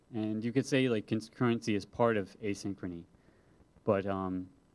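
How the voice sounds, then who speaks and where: With a medium pitch and ordinary pitch variation, the man has an unremarkable speaking voice. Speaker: software developer and conference speaker. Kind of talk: conference talk.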